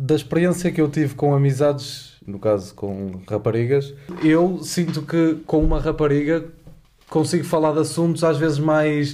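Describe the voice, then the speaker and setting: An unremarkable speaking voice from a man, fairly high in pitch, at a moderate pace with ordinary pitch variation. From Porto, northern Portugal. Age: 20s. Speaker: university student and podcast co-host. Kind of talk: casual chat.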